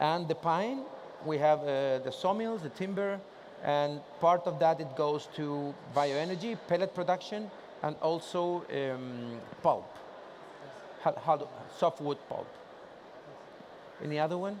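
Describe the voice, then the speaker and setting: Speaking in a Spanish accent, a man with a fairly high pitch talks at a fairly slow pace with ordinary pitch variation and long, frequent pauses. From Chile. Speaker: industry association president. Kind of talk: conference presentation with Q&A. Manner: casual, joking.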